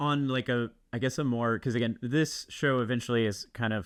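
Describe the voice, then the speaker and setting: A man speaks at a moderate pace with a medium pitch. The recording is very clean, with a silent background. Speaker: podcast host. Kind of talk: casual interview chat. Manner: hesitant, many fillers like and um.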